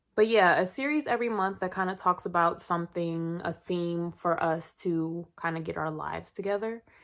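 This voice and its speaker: A woman speaks at a fairly slow pace in a relaxed tone with ordinary pitch variation. The recording is very clean, with a silent background. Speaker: lifestyle YouTuber. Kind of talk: casual vlog monologue. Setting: filming on her bed at home. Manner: casual, relaxed.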